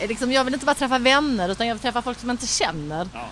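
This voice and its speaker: A woman talks with lively intonation. Her pitch sits high. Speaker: podcast co-host. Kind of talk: casual chat. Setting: bar on a busy street.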